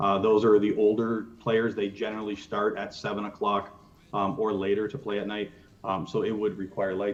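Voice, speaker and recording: Audible room echo surrounds a man's fairly low voice. He speaks with monotone, flat intonation. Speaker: youth baseball coach and organization representative. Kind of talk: presentation to council. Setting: council meeting. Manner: fast.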